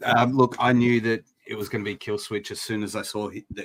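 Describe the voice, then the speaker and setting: A man talks with an Australian accent. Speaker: wrestling podcast host. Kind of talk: casual chat.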